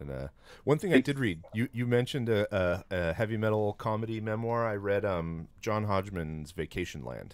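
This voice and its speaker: Speaking at a moderate pace, a man uses lively intonation. His pitch sits fairly low. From California, San Jose; California. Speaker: podcast host. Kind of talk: casual chat. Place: studio. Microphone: studio mic.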